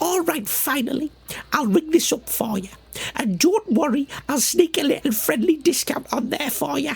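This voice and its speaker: Using a put-on character voice, a woman speaks at a moderate pace with high pitch and lively intonation. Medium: audio drama. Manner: chummy, slangy, teasing.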